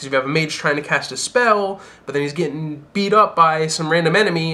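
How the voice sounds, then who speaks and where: A man speaks at a very fast pace in a fairly high voice with a bright, sharp tone. His pitch varies in an ordinary way. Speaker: gaming youtuber. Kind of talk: casual commentary video. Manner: animated.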